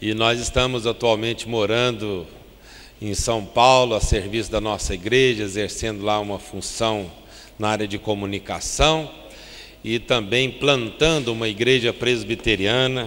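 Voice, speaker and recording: A man with a Minas Gerais accent speaks fairly slowly at a medium pitch, with fairly even intonation. Room echo is audible. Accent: mineiro. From Brazil, Triângulo Mineiro (Minas Gerais). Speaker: pastor. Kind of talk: sermon. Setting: church.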